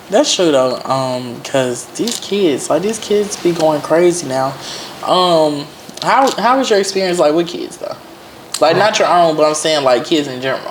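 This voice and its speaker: Noticeable noise fills the background as the words come at a moderate pace. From Mississippi. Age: 20s. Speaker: horse rider, podcast guest. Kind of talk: casual interview. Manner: hesitant, many fillers.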